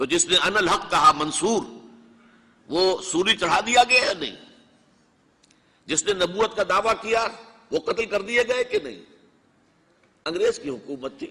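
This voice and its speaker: A man speaks in a raised, projected voice with lively intonation. His pitch is high. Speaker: Islamic scholar. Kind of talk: religious lecture.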